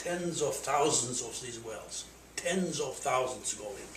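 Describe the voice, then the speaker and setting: With audible echo from the room and noticeable background noise, a man talks fairly slowly, his pitch varying in an ordinary way. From Armenia. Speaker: scientist and lecturer. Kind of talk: lecture.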